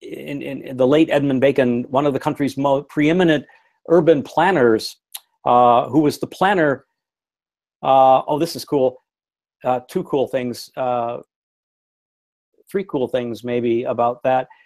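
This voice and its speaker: In a very clean recording with a silent background, a man with an American accent and medium pitch speaks in an animated tone at a fairly slow pace, with ordinary pitch variation and long, frequent pauses. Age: 60s. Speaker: architect and design studio instructor. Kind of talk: lecture. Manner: animated, with many fillers and restarts.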